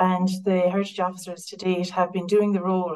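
With an Irish accent, a woman talks at a fairly quick pace in a fairly low pitch. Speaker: council biodiversity officer. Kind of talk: online talk. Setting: video call. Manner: halting.

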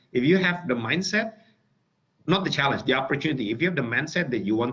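Lively intonation marks a man's speech at a fairly quick pace. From Indonesia. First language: Indonesian. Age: 40s. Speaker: tech company executive; guest. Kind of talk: webinar talk. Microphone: video call.

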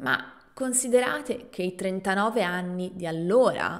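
Over a quiet background, a woman at medium pitch talks at a very slow pace with lively intonation. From Italy. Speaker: language teacher podcaster; Italian language teacher. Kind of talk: storytelling narration; tutorial. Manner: clear and slow. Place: home room. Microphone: studio mic.

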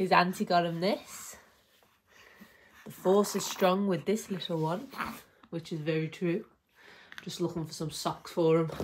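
In a Liverpool accent, a woman speaks fairly slowly at a fairly low pitch with ordinary pitch variation. Long, frequent pauses break her speech over light background noise. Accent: Scouse. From Liverpool, England. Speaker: stay-at-home mum vlogger. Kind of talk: casual talk to camera. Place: home room. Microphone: phone near.

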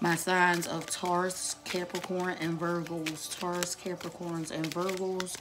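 Noticeable background noise sits under a woman's fairly low voice as she talks fairly slowly in a flat monotone. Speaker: tarot reader. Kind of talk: tarot reading video. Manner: slow, repetitive, deliberate.

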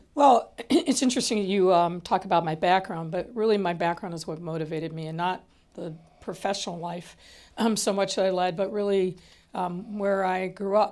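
A woman's speech shows ordinary pitch variation and moves at a moderate pace. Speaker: guest. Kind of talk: interview answer. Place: studio. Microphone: lapel.

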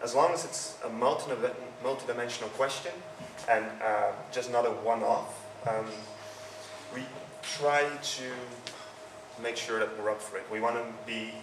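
With a Dutch accent, a man talks at a medium pitch with fairly even intonation over noticeable background noise. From Netherlands. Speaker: user experience consultant. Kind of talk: conference talk. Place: hall. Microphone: handheld.

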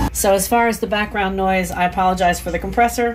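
Noticeable background noise sits behind a woman talking in an American accent. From Maryland. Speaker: lure painter and fishing channel host. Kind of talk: casual chat; tutorial. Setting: home workshop. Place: workshop. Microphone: phone near.

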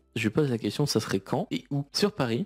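A quiet male voice. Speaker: YouTuber. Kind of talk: story time monologue.

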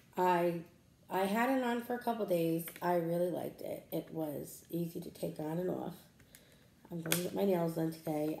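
Amid light background noise and audible room echo, a woman talks at a moderate pace with ordinary pitch variation. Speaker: lifestyle vlogger. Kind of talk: casual vlog chat. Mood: chatty, mildly annoyed. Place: home room. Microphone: phone near.

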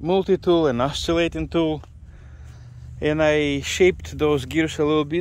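The man's voice comes at a moderate pace, with a dry sound and no echo. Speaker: hobbyist tractor restorer. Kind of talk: casual vlog chat. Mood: pleased, surprised. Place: open country. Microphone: phone near.

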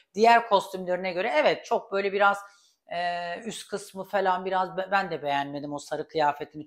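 In a quiet setting, a woman talks at a moderate pace with a fairly low pitch and ordinary pitch variation. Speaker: YouTube celebrity gossip commentator; gossip vlogger. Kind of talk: casual vlog commentary. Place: kitchen. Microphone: lapel.

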